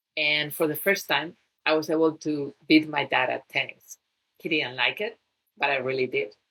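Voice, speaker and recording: A bright, sharp tone carries ordinary pitch variation at a moderate pace. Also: woman, very deep, low pitch for a woman. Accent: Spanish. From Spain. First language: Spanish. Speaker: fitness trainer and wellness coach. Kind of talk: talk to listeners on fitness.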